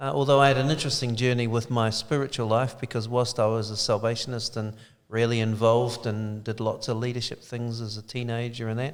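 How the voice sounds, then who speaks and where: A man with a slight New Zealand accent, medium-pitched and monotone in flat intonation, at a fairly quick pace with hardly any pauses. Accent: slight Kiwi. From New Zealand (Dunedin). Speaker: church leader. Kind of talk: interview.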